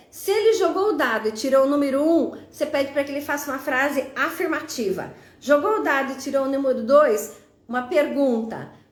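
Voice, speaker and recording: With audible room echo, a woman speaks at a high pitch and a fairly quick pace using lively intonation. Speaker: teacher presenting educational games. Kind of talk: live stream tutorial. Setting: live stream on social media.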